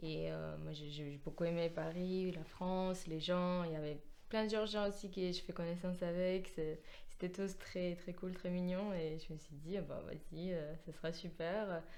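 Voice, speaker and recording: Over noticeable background noise and audible room echo, a woman with a Georgian accent talks in a flat monotone at a fairly low pitch. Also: fairly slow pace. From Georgia, near Kutaisi. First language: Georgian (speaking French). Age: 20s. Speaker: musician, pianist. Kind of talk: interview. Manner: hesitant, many fillers.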